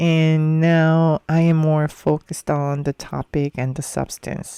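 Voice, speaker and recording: Fairly slow speech with a non-native accent. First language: not English. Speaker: podcast host. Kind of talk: personal reflective monologue. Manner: hesitant, with filler ums.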